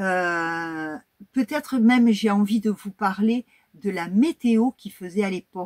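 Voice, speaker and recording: A woman at a very slow pace, with a medium pitch and ordinary pitch variation, in a dry, close sound with no echo. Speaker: YouTuber, history and crafts channel. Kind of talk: casual vlog talk to viewers.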